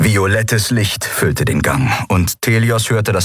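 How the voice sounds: The voice is a natural reading voice. Its intonation stays fairly even.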